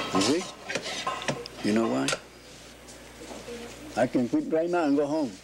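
Amid loud background noise, a man with an American accent speaks at a very slow pace with very even loudness and long, frequent pauses. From Key West, Florida. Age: 80s+. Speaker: cigar maker. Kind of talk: interview answer. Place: workshop.

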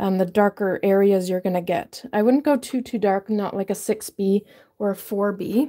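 A woman's dark, mellow voice at a moderate pace, with ordinary pitch variation and a quiet background. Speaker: drawing teacher. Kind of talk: tutorial.

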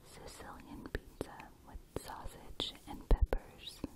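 Very slow, soft-spoken whispering. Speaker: ASMR creator. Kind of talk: whispered ASMR reading. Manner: close soft ASMR whisper.

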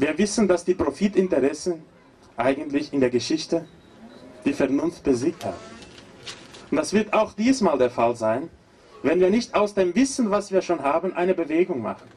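A man with a Portuguese accent speaks at a high pitch. His pitch swings very widely, and he leaves long, frequent pauses. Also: moderate pace. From Brazil. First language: Portuguese (speaking German). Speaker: agroecology professor and activist. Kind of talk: protest speech.

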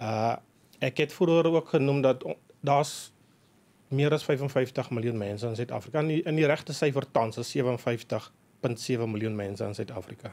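A man's voice sits at a medium pitch, varying in an ordinary way. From South Africa, dairy farm. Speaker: agribusiness executive and sheep farmer; guest. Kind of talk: radio interview. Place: studio. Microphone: studio mic.

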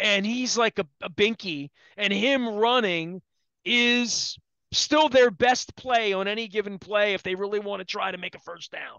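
Against a quiet background, a man with an American accent speaks fairly slowly in a high pitch with ordinary pitch variation, the sound dry with no echo. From Baltimore area, US. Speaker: sports radio host. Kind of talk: casual sports talk. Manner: rambling. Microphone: headset.

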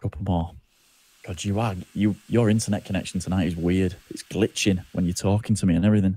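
In a British accent, a man with a very deep, low pitch and a dark, mellow tone talks at a fairly quick pace with fairly even intonation. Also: very clean recording, silent background. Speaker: gaming streamer. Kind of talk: casual chat. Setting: live stream.

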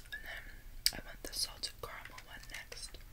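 A soft-spoken woman is whispering. Her pace is moderate. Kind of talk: casual eating vlog chat, ASMR-like. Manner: soft ASMR whisper. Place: home room. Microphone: phone near.

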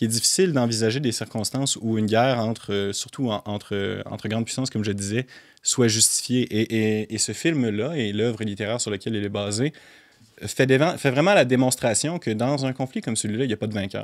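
A man talking at a fairly quick pace with ordinary pitch variation, against a quiet background. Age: 20s. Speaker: film commentator and writer; film commentator. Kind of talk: casual interview. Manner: halting, many repeated words. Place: studio. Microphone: studio mic.

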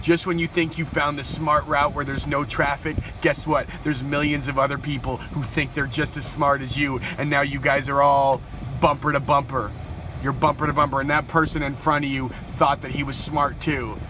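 Over noticeable background noise, a man speaks in a monotone, flat intonation, the sound dry with no echo. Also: moderate pace. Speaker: vlogger. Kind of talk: casual vlog chat. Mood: deadpan comedic. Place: car. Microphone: phone near.

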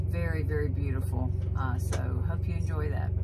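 Loud background noise behind a man's fairly slow speech. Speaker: truck driver vlogger. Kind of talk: casual vlog chat. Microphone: phone near.

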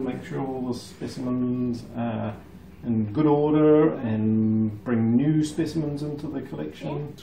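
Recorded with light background noise and audible room echo, a man talks at a fairly slow pace. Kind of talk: explaining to a child on a tour. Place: office. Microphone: camera far.

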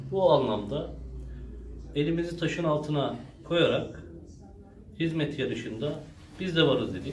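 There is audible room echo and light background noise as a man speaks fairly slowly in a fairly high voice with ordinary pitch variation. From Turkey, Kilimli (Zonguldak). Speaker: local politician announcing mayoral candidacy. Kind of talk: public statement to supporters. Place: office. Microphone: camera far.

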